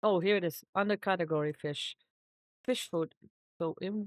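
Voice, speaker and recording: A woman speaks at a fairly slow pace with a medium pitch and fairly even intonation, in a very clean recording with a silent background and a dry, close sound with no echo. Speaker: gaming video creator. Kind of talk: gameplay commentary.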